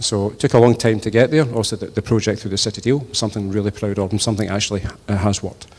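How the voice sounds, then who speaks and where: A man with a west of Scotland accent speaks at a fairly low pitch with fairly even intonation. Noticeable background noise runs behind him. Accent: west of Scotland Scottish. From Scotland, Inverclyde. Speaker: politician. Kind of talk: hustings speech. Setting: church with audience. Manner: hesitant, many fillers.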